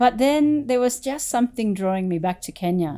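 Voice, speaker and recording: With an Australian accent and a dark, mellow tone, a woman talks at a moderate pace with lively intonation on a very clean recording with a silent background. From Australia, country Victoria. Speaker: furniture business owner. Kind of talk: interview.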